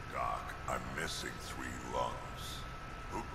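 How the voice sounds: A man's cartoonish character voice with a clear echo and loud background noise.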